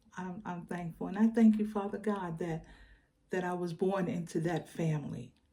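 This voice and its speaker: At a fairly slow pace, a woman speaks in a fairly low pitch with a dark, mellow, somewhat breathy tone and fairly even intonation. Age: 70s. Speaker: faith vlogger. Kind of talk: personal storytelling. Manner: halting, repetitive.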